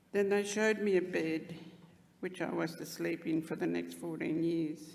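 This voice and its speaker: Fairly low-pitched and fairly even in intonation, a woman talks at a moderate pace amid audible room echo. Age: 80s+. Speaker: Stolen Generations survivor. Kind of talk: speech at commemoration. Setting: stage with audience.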